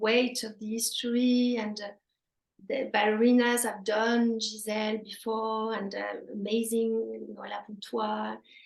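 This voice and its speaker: A woman with a French accent speaks at a fairly slow pace in a fairly high pitch, her intonation monotone and flat. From France. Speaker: former ballet dancer. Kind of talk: interview. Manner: halting.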